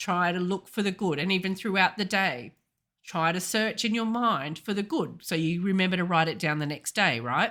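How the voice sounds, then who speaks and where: A woman with an Australian accent speaks at a medium pitch in a bright, sharp tone, at a moderate pace with ordinary pitch variation. The recording is very clean, with a silent background. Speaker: intuitive healer and coach. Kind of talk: podcast talk.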